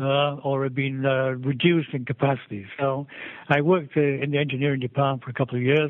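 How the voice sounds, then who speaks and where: Monotone, flat intonation runs through this very fast speech. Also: man, fairly high pitch for a man. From England. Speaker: civil engineer, mining executive. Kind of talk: interview. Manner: halting, many repetitions and fillers.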